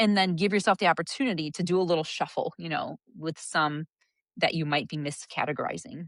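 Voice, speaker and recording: A woman's fairly low pitch at a fairly quick pace, with ordinary pitch variation, a dry, close sound with no echo, and a quiet background. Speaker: physician and coach. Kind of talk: interview conversation. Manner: fast.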